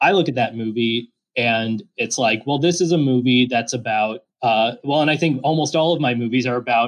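Against a quiet background, a man speaks in an ordinary speaking voice at a moderate pace. His pitch is medium, with ordinary pitch variation. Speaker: filmmaker. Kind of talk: casual chat.

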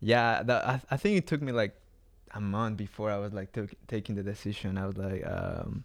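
Here a man talks at a moderate pace and a medium pitch. His intonation is fairly even. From Mexico City, Mexico. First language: Spanish. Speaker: artist and traveler. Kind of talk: casual interview chat.

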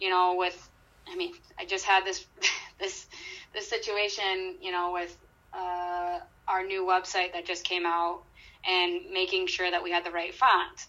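Pausing long and often, a woman speaks fairly slowly in a bright, sharp tone with monotone, flat intonation. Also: medium pitch for a woman. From Michigan, Grand Rapids. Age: 30s. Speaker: college sports information director. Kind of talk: interview conversation.

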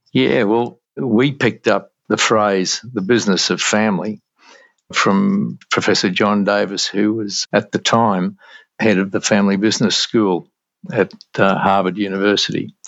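A man with an Australian accent speaks at a fairly low pitch and a fairly slow pace, his intonation fairly even. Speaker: entrepreneur. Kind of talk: interview.

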